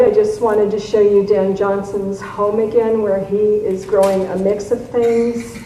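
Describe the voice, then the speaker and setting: Noticeable background noise and audible room echo surround a woman's voice. She talks at a medium pitch and a fairly slow pace. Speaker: garden writer and convention speaker. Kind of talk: lecture.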